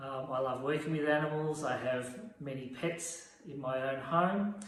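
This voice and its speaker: Speaking at a fairly slow pace in an Australian accent, a man is heard with audible room echo and noticeable background noise. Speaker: veterinary radiographer. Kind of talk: informal talk to camera.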